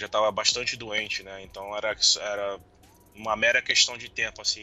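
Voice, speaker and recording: A man speaks with big swings in loudness while music plays in the background. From Rio de Janeiro, Brazil. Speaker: podcast guest, football fan. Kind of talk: casual interview. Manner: halting.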